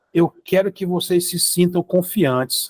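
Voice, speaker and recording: In a dry, close recording with no echo, a man speaks at a high pitch. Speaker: physics teacher. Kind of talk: lecture.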